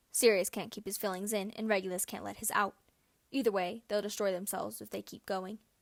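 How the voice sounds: Intonation stays fairly level throughout this natural reading voice.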